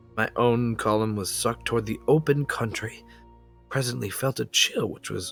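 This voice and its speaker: The speech keeps a moderate pace while music sounds behind it. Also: man. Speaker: amateur horror story reader. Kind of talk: dramatic horror story reading. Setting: home microphone, some clipping.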